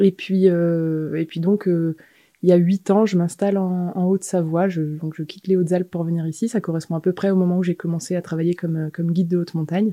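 Recorded very cleanly against a silent background with a dry, close sound and no echo, a woman talks at a fairly quick pace in a fairly low, dark, mellow voice with monotone, flat intonation. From eastern France and the French Alps. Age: 30s. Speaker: mountain guide and sailor. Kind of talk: interview. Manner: hesitant, many fillers.

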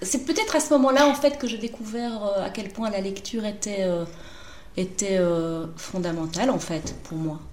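A woman at a medium pitch with lively intonation and a fairly slow pace, heard with audible room echo and noticeable background noise. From Brussels, Belgium. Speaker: novelist. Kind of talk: interview.

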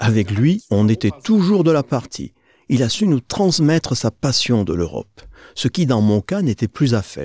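Very wide pitch swings mark a man's dark, mellow voice of medium pitch, delivered at a fairly slow pace in a very clean recording with a silent background. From Germany, Aachen. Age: 80s+. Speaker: witness of war and European unification. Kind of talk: testimony.

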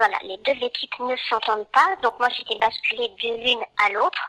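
A woman at a high pitch with a bright, sharp tone, fairly slow in pace, in a dry, close sound with no echo. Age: 50s. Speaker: former care home worker. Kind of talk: testimony. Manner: hesitant, with many fillers.

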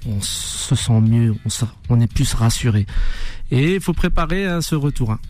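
Over noticeable background noise, a man with a medium pitch speaks very slowly, his intonation lively. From France, Dijon suburbs (Chenôve). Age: 40s. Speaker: musician. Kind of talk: radio interview. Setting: radio studio.

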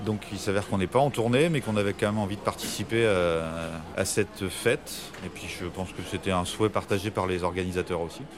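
A man with a fairly low pitch and ordinary pitch variation speaks at a very fast pace. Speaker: rock band musician. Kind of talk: radio interview. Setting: café in Paris.

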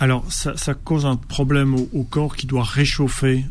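A man speaks at a fairly slow pace, his medium-pitched voice following a fairly even intonation. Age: 50s. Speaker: biologist and breathing coach. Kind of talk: radio interview. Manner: halting, with repetitions.

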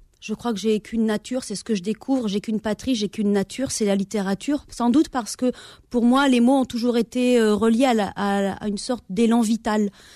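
A woman with a fairly high pitch and a dark, mellow tone speaks at a fairly quick pace with fairly even intonation. The sound is dry and close with no echo, on a very clean recording with a silent background. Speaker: novelist and teacher. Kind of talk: radio interview. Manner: hesitant, many fillers.

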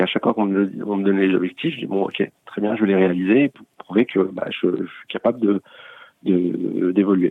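With fairly even intonation, a man talks at a fairly quick pace in a fairly low voice. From France, Paris region. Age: 40s. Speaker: bank co-founder. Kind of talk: interview. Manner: halting, many repetitions.

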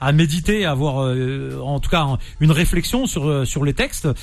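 Speaking at a moderate pace, a man's voice rings with audible room echo. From France, Nantes, of Algerian descent. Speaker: radio host. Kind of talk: radio interview. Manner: animated.

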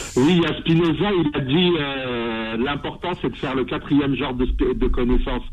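Music plays in the background. A man with a fairly high pitch speaks at a fairly slow pace, with ordinary pitch variation and hardly any pauses. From Algeria, Kabylie (raised in France from age 7). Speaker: radio caller. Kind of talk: phone-in question.

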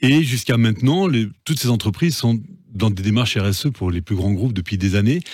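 At a fairly quick pace, a man with a medium pitch speaks with lively intonation, very even loudness and a somewhat breathy quality in a very clean recording with a silent background. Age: 50s. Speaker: entrepreneur. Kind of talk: interview. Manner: halting, repeats words.

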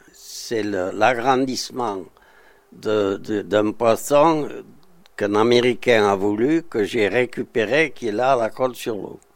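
A man with a medium pitch speaks at a very slow pace, showing ordinary pitch variation. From southern France, Côte d'Azur (Saint-Paul-de-Vence). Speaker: artist, sculptor. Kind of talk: interview testimony. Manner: halting, hesitant.

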